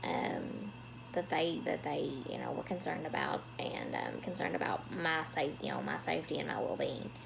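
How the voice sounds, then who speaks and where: With a Southern US accent, a woman talks at a moderate pace over noticeable background noise, with audible room echo. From US South. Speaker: vlogger. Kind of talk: personal storytelling vlog. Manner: halting, many fillers.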